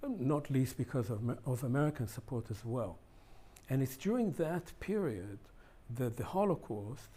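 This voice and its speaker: A man talks with a medium pitch and a dark, mellow tone. His voice is somewhat breathy, and his intonation is lively. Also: moderate pace. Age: 70s. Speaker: historian. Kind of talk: interview.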